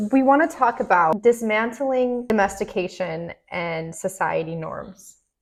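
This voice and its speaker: The speech moves at a fairly slow pace with lively intonation and hardly any pauses. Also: woman, fairly high pitch for a woman. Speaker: podcast co-host. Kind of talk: casual chat. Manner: loud; expressive.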